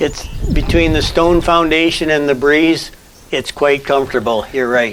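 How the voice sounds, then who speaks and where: Speech moves at a moderate pace with ordinary pitch variation and very even loudness. Noticeable background noise sits behind it. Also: man, fairly high pitch for a man. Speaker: rabbit breeder, farmer. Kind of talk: interview answer on farm tour.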